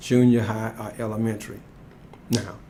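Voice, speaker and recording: Somewhat breathy, with a dark, mellow tone, a man talks at a fairly slow pace. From Alabama. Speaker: engineer. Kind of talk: interview answer.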